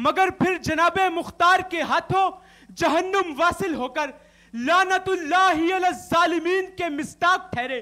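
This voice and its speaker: Using a raised, projected voice, a man speaks at an extremely high pitch with a bright, sharp tone and fairly even intonation. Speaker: university student debater. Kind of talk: declamation speech. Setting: TV studio stage. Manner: impassioned, oratorical.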